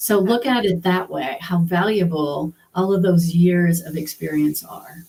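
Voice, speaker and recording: Speaking fairly slowly, a woman has a plain, everyday voice. Her pitch is medium, with fairly even intonation. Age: 60s. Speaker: healthcare professional turned coaching client. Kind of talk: interview.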